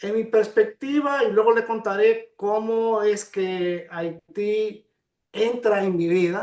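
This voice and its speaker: A man's high-pitched voice at a very slow pace, with fairly even intonation. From Dominican Republic, Cibao region. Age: 70s. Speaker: historian and court interpreter. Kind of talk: interview.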